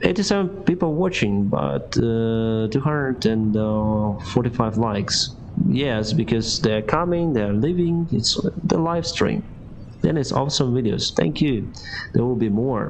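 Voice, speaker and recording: A man's medium-pitched voice with a Ukrainian accent, fairly slow and very even in loudness yet with very wide pitch swings, amid noticeable background noise and audible room echo. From Ukraine. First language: Ukrainian or Russian. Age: 30s. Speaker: airline pilot and streamer. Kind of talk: live stream Q&A reading chat. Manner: halting.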